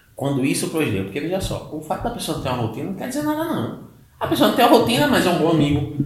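Amid noticeable background noise and audible room echo, a man with a fairly high voice talks at a very fast pace with very wide pitch swings. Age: 30s. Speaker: mental health specialist. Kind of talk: casual interview. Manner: halting, many fillers.

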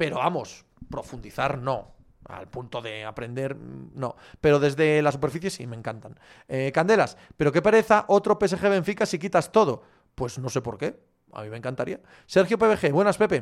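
A man's fairly high voice at a moderate pace, with very wide pitch swings and big swings in loudness, in a very clean recording with a silent background. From Galicia, Spain. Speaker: sports podcast host. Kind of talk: live chat Q&A reading viewer comments. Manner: casual, animated.

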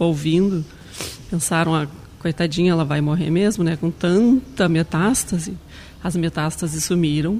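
Noticeable background noise sits behind a woman's voice. Her pitch is fairly low and her intonation fairly even. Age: 40s. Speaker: cancer survivor, chef. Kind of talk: testimony.

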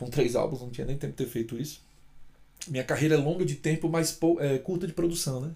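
A fairly high-pitched man's voice, dark and mellow in tone, somewhat breathy, at a very fast pace with ordinary pitch variation. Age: 40s. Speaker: singer-songwriter vlogger. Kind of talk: casual vlog monologue. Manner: unscripted, hesitant fillers.

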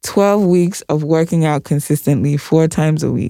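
Her tone dark and mellow, a woman speaks at a moderate pace with fairly even intonation in a dry, close sound with no echo. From Ghana. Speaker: podcast co-host. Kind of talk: casual chat.

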